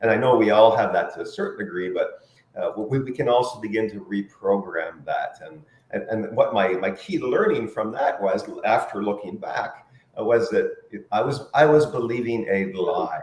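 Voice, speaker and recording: Background noise is noticeable throughout. A man talks at a moderate speed. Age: 60s. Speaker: corporate trainer and life purpose coach. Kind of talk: talk show interview.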